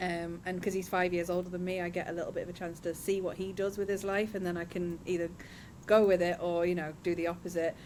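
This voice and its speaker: Speaking very fast with a southern English accent, a woman keeps a monotone, flat intonation at a fairly low pitch. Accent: non-Northeast (southern English). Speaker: studio owner, podcasting business owner. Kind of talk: podcast interview. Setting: film studio, remote.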